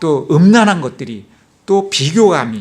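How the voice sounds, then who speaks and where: Male speech pitched high, its pitch swinging very widely. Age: 60s. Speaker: church deacon giving testimony. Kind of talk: testimony.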